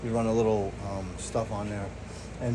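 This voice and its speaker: Audible room echo and noticeable background noise around a man talking at a moderate pace. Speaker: DIY mechanic vlogger. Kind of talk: casual tutorial. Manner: casual, rambling with fillers.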